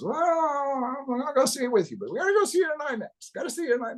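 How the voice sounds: A put-on character voice pitched high. The words come out very fast.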